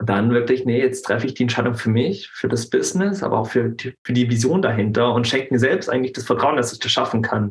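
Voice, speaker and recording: Speaking very fast, a man leaves hardly any pauses. His medium pitch shows ordinary variation. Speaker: anti-bullying coach. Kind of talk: casual interview. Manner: halting.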